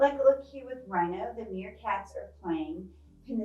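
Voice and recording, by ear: A text is read aloud in a natural voice.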